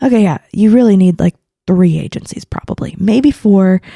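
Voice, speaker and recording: In a dry, close recording, a woman with an American accent speaks at a moderate pace and medium pitch, somewhat breathy, with a dark, mellow tone and ordinary pitch variation. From Oklahoma. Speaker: marketing consultant. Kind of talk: podcast interview. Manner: halting, many fillers.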